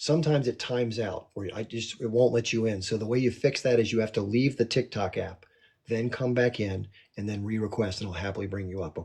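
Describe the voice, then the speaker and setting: Over a quiet background, a raspy, put-on character voice runs at a fairly quick pace with ordinary pitch variation. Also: man, medium pitch for a man. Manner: talking fast.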